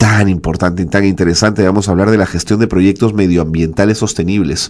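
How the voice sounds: A man with a fairly low pitch, slightly mellow tone, fairly even intonation and fairly quick pace.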